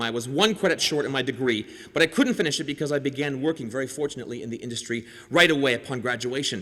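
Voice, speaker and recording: Very fast and bright, a man's voice comes through with a sharp tone and a fairly high pitch. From Canada. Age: 40s. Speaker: comedian and TV host. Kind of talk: convocation speech with stand-up humor. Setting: stage with audience. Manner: animated.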